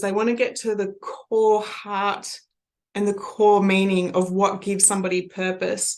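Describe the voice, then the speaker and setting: A woman talks at a medium pitch. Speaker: NLP trainer and coach. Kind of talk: lecture.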